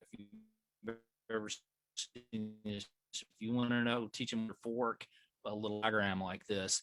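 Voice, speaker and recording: Speaking fairly slowly in a monotone, flat intonation, a man with a Southern US accent is heard in a dry, close sound with no echo. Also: medium pitch for a man. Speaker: flight medical educator. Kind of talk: training class. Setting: video call. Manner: halting, repetitive fillers.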